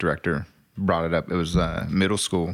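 The man's pitch is very deep and low. The recording is very clean, with a silent background. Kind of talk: casual interview. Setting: at the guest's home.

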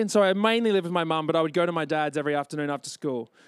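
A man talks at a very fast pace. The recording is very clean and silent behind him, with a dry, close sound and no echo. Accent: Australian. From Brisbane, Australia. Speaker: author and comedian. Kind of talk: festival talk to live audience. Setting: stage with audience.

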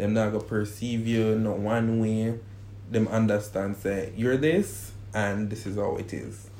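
This man speaks at a fairly slow pace. His intonation is flat and monotone. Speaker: guest in a couple interview. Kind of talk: casual interview chat.

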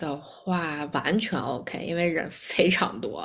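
Vocal fry colors a woman's speech at a very slow pace. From Beijing, China. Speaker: actuary, immigrant. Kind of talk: casual chat.

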